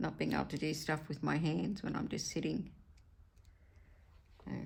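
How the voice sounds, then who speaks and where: Her pace stays moderate. She has an Australian accent. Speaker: craft vlogger. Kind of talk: casual chat while crafting. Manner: hesitant, with fillers.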